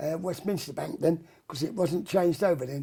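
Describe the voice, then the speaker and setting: A man with a Cockney accent, high-pitched for a man, with a dark, mellow tone and a fairly quick pace. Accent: London Cockney. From London (Bermondsey, south-east London). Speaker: rock and roll singer. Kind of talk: interview. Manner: halting, hesitant with fillers.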